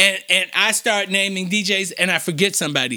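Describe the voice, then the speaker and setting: Projected and raised, the voice has a bright, sharp tone and ordinary pitch variation. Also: man. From Chicago, West Side. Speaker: nonprofit foundation president. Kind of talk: interview. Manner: halting, repeats words.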